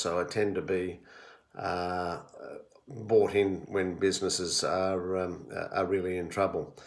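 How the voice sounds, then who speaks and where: Speaking fairly slowly with an Australian accent, a man has a very deep, low pitch, and audible room echo surrounds him. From Australia, Melbourne area (Victoria). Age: 60s. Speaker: retired-age HR professional recording family history. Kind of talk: personal monologue answering questions. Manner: hesitant, many fillers.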